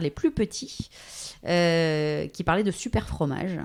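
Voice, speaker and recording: An ordinary speaking voice, a woman's, fairly low in pitch with ordinary pitch variation, on a very clean recording with a silent background. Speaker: voice-over artist and radio/TV journalist. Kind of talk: interview answer. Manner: casual, conversational.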